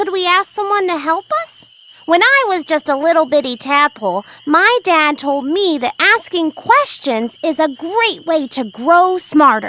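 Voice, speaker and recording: A female-sounding, put-on character voice sits at an extremely high pitch. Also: moderate pace. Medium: read story. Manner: polite, earnest.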